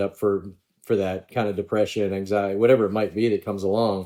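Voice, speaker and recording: A man with an American accent talks at a fairly quick pace in a fairly low pitch, a plain, everyday voice. The recording is very clean with a silent background. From Pittsburgh, Pennsylvania. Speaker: former pro golfer. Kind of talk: podcast interview.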